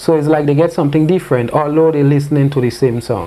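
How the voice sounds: Fast and fairly high-pitched, the man has a dark, mellow tone. His pitch variation is ordinary.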